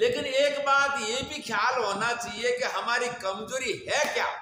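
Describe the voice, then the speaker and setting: Over noticeable background noise, a raised, projected voice with a Gujarati accent carries ordinary pitch variation. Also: man, extremely high pitch for a man. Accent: Gujarati-accented Hindi. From India, Gujarat (Banaskantha). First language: Gujarati (speaking Hindi). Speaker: spiritual preacher. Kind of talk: religious discourse (satsang).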